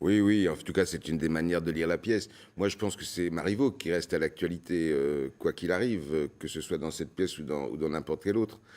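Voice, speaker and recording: Barely pausing, a man with a very deep, low voice speaks very fast with ordinary pitch variation. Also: very clean recording, silent background. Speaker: theatre director. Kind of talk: TV interview. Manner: hesitant, with fillers.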